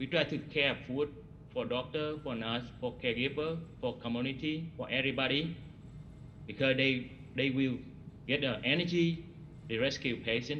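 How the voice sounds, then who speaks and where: Pausing long and often, a man with a non-native accent speaks in a medium pitch and fairly even intonation amid audible room echo. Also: moderate pace. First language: not English. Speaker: hospital cook, award recipient. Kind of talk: ceremony remarks. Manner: halting.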